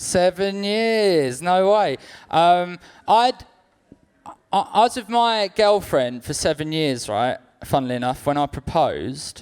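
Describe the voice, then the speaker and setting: Over background music, a man with a London accent and a high pitch speaks at a fairly slow pace with very wide pitch swings and big swings in loudness. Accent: London, sounds like a cab driver. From South London. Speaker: stand-up comedian. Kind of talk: stand-up. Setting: stage with audience.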